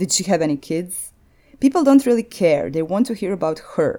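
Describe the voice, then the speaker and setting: A woman with a Croatian accent speaks at a medium pitch in a dark, mellow tone. Her pitch swings very widely in a very clean recording with a silent background. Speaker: podcast host. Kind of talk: scripted narration.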